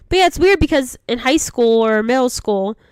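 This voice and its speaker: At a moderate pace, a woman's voice swings very widely in pitch. The recording is very clean, with total silence behind it. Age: 20s. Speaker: podcast co-host. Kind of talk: casual chat. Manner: low energy.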